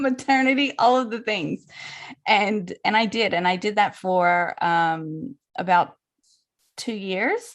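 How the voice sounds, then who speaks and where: Against a quiet background, a woman with an American accent speaks very slowly, her voice fairly high and her intonation lively. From US South, New Orleans, Louisiana. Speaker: birth photographer. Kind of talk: podcast interview.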